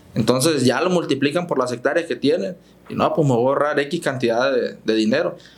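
A man talks fairly quickly in a normal speaking voice, pitched fairly high with ordinary pitch variation. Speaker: farm machinery dealer manager. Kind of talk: podcast interview.

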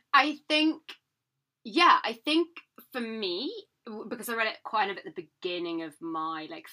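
With a British accent, a woman speaks at a moderate pace with long, frequent pauses, her fairly high, bright, sharp voice moving through very wide pitch swings and big swings in loudness. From Britain. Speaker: podcast co-host. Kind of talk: casual chat.

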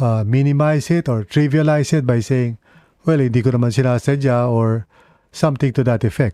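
A man with a Filipino accent, dark and mellow in tone, at a moderate pace with ordinary pitch variation, in a dry, close recording without echo against a quiet background. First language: Tagalog. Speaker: preacher. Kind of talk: sermon with prayer, mixing English and Tagalog. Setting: online broadcast, evening. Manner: halting, many fillers.

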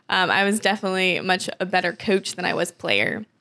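On a very clean recording with a silent background, a woman with an American accent speaks in a bright, sharp tone. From US South, small town in South Carolina. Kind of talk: casual chat.

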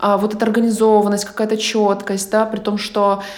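Her voice sits at a fairly high pitch as this woman speaks at a moderate pace. Noticeable background noise and audible room echo are present. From Ukraine. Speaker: podcast host and producer. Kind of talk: casual interview. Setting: remote call.

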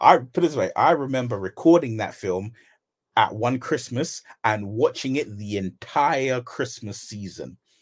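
A man talks at a fairly slow pace in a British accent, his pitch medium with ordinary variation. The recording is very clean, with a silent background. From UK. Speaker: podcast co-host. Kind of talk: casual chat.

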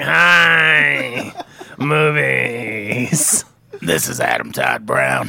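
A man's raspy put-on character voice, fairly low in pitch, at a very slow pace. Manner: silly, exaggerated.

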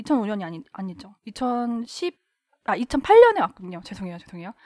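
The recording is very clean, with a silent background. A woman speaks at a fairly high pitch with a dark, mellow tone. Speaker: member of feminist group. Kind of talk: casual chat.

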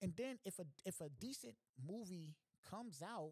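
A man talks in an animated tone, his pitch swinging very widely. The sound is dry and close with no echo. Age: 30s. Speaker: podcast host. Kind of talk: casual monologue.

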